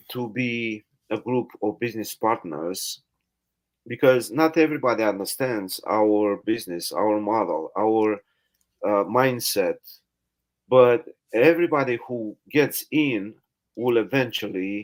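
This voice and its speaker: A man with a non-native accent at a medium pitch, fairly slow with long, frequent pauses and ordinary pitch variation. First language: not English. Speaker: live stream host, network marketer. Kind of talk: casual interview. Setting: live stream. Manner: halting.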